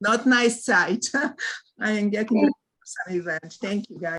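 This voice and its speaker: Her voice sits at a medium pitch. This woman's intonation shows ordinary pitch variation. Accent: non-native. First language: not English. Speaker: volunteer ESL tutor. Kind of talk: casual group meeting share. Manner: halting, many fillers.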